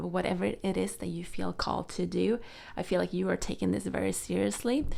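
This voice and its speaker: A woman with a Swedish accent at a moderate pace. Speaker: tarot reader. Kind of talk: tarot reading. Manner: halting, many fillers.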